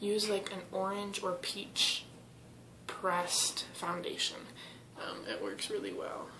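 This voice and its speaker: Over noticeable background noise, a woman talks with fairly even intonation. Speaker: beauty vlogger. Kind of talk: makeup tutorial. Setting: at home with family. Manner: casual with many fillers. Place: bathroom. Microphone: webcam.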